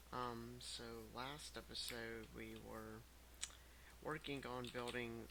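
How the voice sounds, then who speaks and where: The voice is quiet and very slow. Audible room echo surrounds it. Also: man. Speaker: gaming youtuber. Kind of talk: let's play commentary. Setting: home recording, headset. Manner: quiet, lowered voice.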